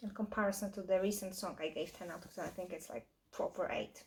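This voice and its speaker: At a fairly quick pace, a woman with a non-native accent speaks in a somewhat breathy voice at a medium pitch. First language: not English. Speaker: reaction video host. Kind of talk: review commentary; casual chat. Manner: halting.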